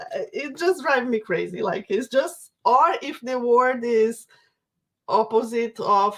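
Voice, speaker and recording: Speaking very slowly with a Brazilian Portuguese accent, a woman uses ordinary pitch variation. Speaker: craft workshop instructor. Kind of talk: live stream Q&A. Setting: online livestream. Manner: halting, repeats words.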